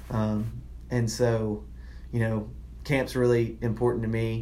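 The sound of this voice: A man speaks with a Southern US accent.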